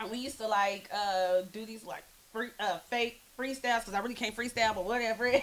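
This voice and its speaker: A woman's fairly high, fairly quick voice in an American accent, fairly even intonation, big swings in loudness, noticeable background noise. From Oklahoma. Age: 20s. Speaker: spoken word poet. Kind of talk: casual chat.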